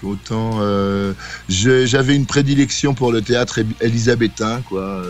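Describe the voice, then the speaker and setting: Speaking at a fairly slow pace, a man is heard with music in the background. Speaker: band singer-songwriter and stage actor. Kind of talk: radio interview. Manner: hesitant, many fillers.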